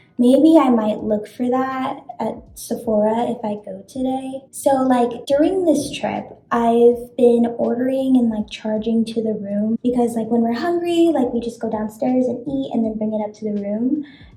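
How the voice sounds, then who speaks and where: In an American accent, a woman speaks at a moderate pace and a high pitch, with ordinary pitch variation and hardly any pauses. Noticeable background noise and audible room echo fill the recording. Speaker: beauty vlogger. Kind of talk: casual chat. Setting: hotel bathroom.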